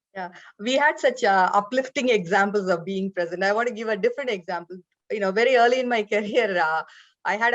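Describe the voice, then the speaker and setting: With an Indian accent, a woman talks at a fairly quick pace with ordinary pitch variation. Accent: Indian, lilting. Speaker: business leader. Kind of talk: panel discussion. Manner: halting, many fillers.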